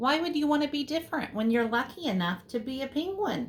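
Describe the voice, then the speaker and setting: A woman's put-on character voice, high-pitched and fairly quick. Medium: read story. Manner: jovial.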